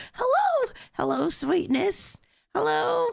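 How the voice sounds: The put-on character voice moves at a very slow pace.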